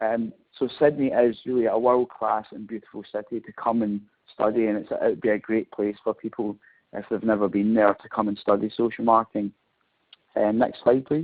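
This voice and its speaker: A man talks at a fairly quick pace with a Scottish accent and fairly even intonation. His loudness swings widely. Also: medium pitch for a man. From Scotland. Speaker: professor. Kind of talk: webinar presentation. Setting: online webinar. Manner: hesitant, frequent fillers.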